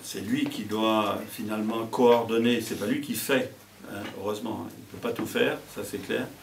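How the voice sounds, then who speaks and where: A man's flat, monotone delivery at a fairly slow pace, with noticeable background noise and audible room echo. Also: medium pitch for a man. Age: 70s. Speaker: mayor, retired teacher. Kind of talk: interview. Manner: hesitant, many fillers.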